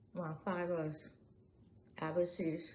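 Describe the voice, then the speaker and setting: Audible room echo surrounds the voice. A woman speaks in a dark, mellow tone. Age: 80s+. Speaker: family elder interviewee. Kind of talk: oral history interview.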